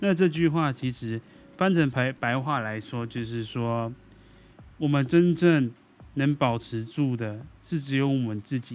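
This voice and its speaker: A man at a very slow pace, with big swings in loudness. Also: medium pitch for a man, ordinary pitch variation. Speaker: podcast host. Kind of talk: casual monologue. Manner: halting.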